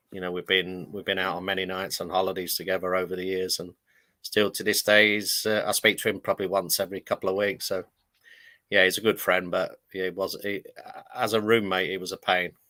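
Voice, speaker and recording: In a northern English accent, a man talks at a fairly quick pace with a very deep, low pitch. His tone is bright and sharp, his intonation monotone and flat. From London (Fulham). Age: 60s. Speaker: retired footballer. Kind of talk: interview.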